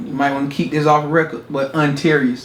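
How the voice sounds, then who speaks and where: Noticeable background noise and audible room echo surround a man speaking at a moderate pace in a fairly high pitch. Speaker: singer. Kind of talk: casual interview.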